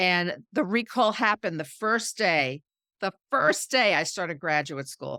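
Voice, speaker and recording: A woman's medium-pitched voice in a New York accent, bright and sharp in tone, with very wide pitch swings, a dry, close sound with no echo, and a very clean recording over a silent background. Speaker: PR consultant and entrepreneur. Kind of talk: interview conversation. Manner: repeats words when starting sentences.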